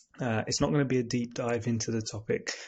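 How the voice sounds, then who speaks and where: Soft-spoken and somewhat breathy, a man talks at a moderate pace with a medium pitch. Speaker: podcast host. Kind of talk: casual explainer monologue. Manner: soft-spoken, talking quietly; hesitant, many fillers.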